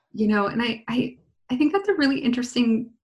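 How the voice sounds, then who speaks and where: With an American accent, a woman talks in a somewhat breathy voice with ordinary pitch variation. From US West Coast, San Diego (Lakeside). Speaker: podcast host and coding school CEO. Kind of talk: casual interview.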